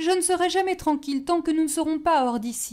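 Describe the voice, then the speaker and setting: Putting on a character voice, a woman talks at a fairly quick pace with an extremely high pitch and lively intonation. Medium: read story. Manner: fearful, tearful.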